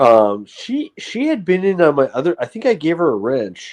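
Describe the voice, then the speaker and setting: A man with a New England accent speaks at a fairly slow pace and a fairly high pitch, his pitch swinging very widely. The background is quiet. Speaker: live streamer. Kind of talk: casual livestream chat. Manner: rambling with fillers and self-corrections.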